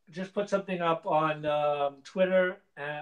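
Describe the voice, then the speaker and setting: This speaker is a man with an American accent. He talks fairly slowly. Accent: sounds American. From nomad, lived in about nine countries. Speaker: 3D printing hangout co-host. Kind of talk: casual chat.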